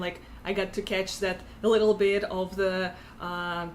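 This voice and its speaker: With a Russian accent, a woman speaks at medium pitch in a monotone, flat intonation. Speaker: tech community organizer and founder. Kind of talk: interview. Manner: halting, many fillers.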